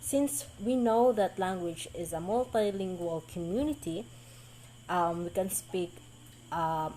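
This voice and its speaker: At a very slow pace, a woman with a Visayan Filipino accent speaks in a medium pitch with a dark, mellow tone and lively intonation. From Philippines, Mindanao (Bisaya speaker). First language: Bisaya. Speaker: college student. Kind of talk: class presentation. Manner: halting, many fillers.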